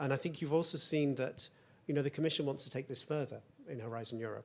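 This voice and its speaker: Speaking in a British accent, a man uses a fairly high pitch. His pace is very fast. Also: fairly even intonation. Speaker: EU research policy official. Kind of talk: panel discussion.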